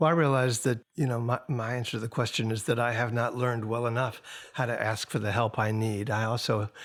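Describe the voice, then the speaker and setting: A man at a medium pitch keeps a fairly even intonation in a very clean recording with a silent background. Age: 60s. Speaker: singer-songwriter and record producer. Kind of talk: podcast interview. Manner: halting.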